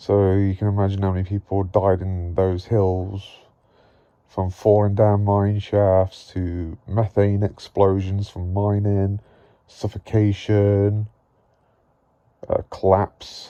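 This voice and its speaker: Against a quiet background, a man talks at a very slow pace in a monotone, flat intonation. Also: fairly low pitch for a man. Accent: English Midlands. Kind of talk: casual talk to camera.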